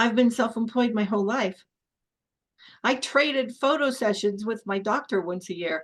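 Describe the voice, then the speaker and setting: Against a quiet background, an ordinary speaking voice moves at a moderate pace with ordinary pitch variation. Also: woman, fairly high pitch for a woman. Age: 60s. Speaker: podcast host, minister. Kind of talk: casual interview conversation.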